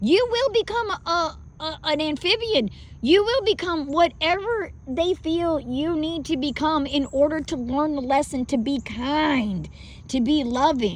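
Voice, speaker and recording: Speaking slowly with a Southern US accent, a woman with a high pitch makes very wide pitch swings. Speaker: spiritual vlogger. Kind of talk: casual monologue. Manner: halting.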